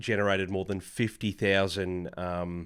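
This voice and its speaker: The speaker talks with an Australian accent. The recording is very clean, with a silent background. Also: man. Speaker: podcaster. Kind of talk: casual vlog talk.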